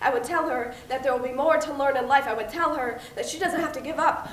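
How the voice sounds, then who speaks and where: A woman speaks with a high pitch over noticeable background noise. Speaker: spoken word poet. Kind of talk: spoken word poetry performance.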